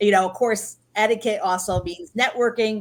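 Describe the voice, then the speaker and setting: With an ordinary speaking voice, a woman talks at a fairly high pitch and ordinary pitch variation. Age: 60s. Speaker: etiquette trainer and business consultant. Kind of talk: interview.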